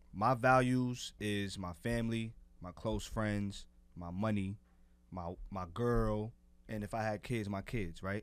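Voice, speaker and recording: The recording is very clean, and the background silent. A man talks in a fairly deep voice with fairly level intonation. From Harlem, New York. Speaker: podcast co-host, music artist. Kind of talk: casual chat.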